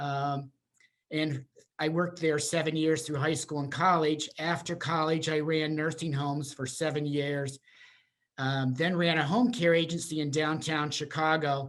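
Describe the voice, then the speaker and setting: Using fairly even intonation, a man speaks at a moderate pace with a fairly high pitch. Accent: Pennsylvania. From central Pennsylvania. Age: 60s. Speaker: senior housing sales and marketing presenter. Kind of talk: webinar presentation. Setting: Zoom video call. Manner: halting, many fillers.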